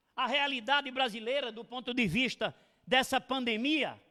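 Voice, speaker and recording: On a very clean recording with a silent background, a man uses a raised, projected voice with a bright, sharp tone, an extremely high pitch, ordinary pitch variation and a fairly slow pace. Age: 60s. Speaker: lecturer, veteran teacher. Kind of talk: lecture. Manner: formal.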